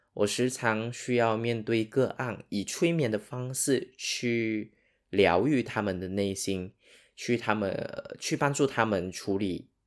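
A man with a Sarawak accent speaks at a very slow pace and medium pitch on a very clean recording with a silent background. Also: ordinary pitch variation. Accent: Sarawak Malaysian Mandarin accent, noticeable. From Sarawak, East Malaysia. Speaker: hypnotherapist and podcast host. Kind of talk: solo podcast monologue. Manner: casual, with many fillers.

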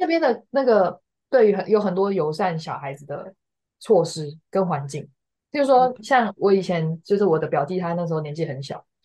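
A woman at a moderate pace, medium in pitch, dark and mellow in tone, with lively intonation and big swings in loudness. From Taiwan. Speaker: graduate student. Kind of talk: casual interview.

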